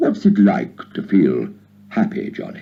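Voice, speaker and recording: A quiet man in a put-on character voice, moving at a moderate pace. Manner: strange, wondering.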